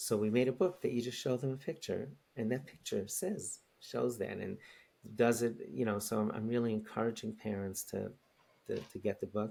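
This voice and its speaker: A man with a New York accent, a dark, mellow tone, medium pitch, ordinary pitch variation and a moderate pace. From New York City, Queens. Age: 60s. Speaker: rabbi and educator. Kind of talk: podcast interview. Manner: halting, many repetitions.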